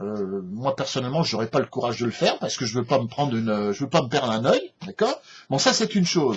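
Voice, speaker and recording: A man's somewhat breathy, medium-pitched voice with lively intonation, a fairly quick pace and hardly any pauses. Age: 60s. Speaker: political commentator. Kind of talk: opinion rant. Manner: halting, many repetitions and hesitations; animated.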